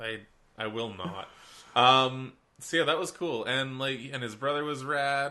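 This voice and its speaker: A man's bright, sharp voice moves at a fairly slow pace with ordinary pitch variation. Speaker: podcast co-host. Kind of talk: casual chat.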